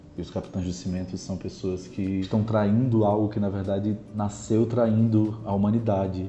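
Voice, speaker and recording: Somewhat breathy and dark, mellow in tone, the voice keeps fairly even intonation at a moderate pace. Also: man. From Brazil, Natal, Rio Grande do Norte. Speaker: artist and performer. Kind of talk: interview.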